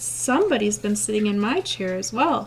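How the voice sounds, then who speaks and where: A woman's raspy put-on character voice at a medium pitch and a moderate pace, with clear background noise. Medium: read story.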